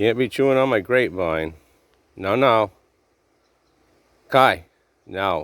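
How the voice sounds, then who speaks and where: In a very clean recording with a silent background, a man mumbles quietly at a fairly low pitch and a fairly slow pace, his intonation lively and his pauses long and frequent. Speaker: vlogger filming his dog and garden. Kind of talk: casual vlog narration. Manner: low, quiet voice; mumbling.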